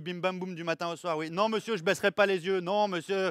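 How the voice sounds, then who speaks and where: A man with a high pitch talks at a fairly quick pace, with fairly even intonation and a dry, close sound with no echo. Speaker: stand-up comedian. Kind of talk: live stand-up comedy routine.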